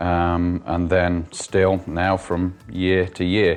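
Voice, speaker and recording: Very deep, low male voice in a flat monotone, with music in the background. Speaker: stroke survivor with aphasia, business owner. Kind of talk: interview testimony. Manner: halting, many fillers and restarts; word-finding pauses.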